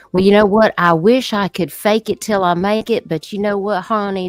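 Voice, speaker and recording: A woman with a Southern US accent, music playing in the background. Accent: Southern American. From American South. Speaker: live streamer. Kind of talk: casual, chatty, uses "honey" and "love". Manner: sassy, direct.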